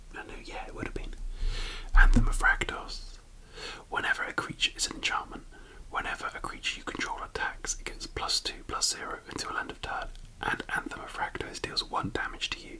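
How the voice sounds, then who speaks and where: A man whispers at a fairly quick pace, with big swings in loudness. Noticeable background noise is present. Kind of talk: ASMR card collection commentary. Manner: whispered.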